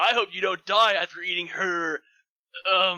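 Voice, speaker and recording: A man uses a put-on character voice with a high pitch. He moves at a moderate pace. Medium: read story. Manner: teasing, casual.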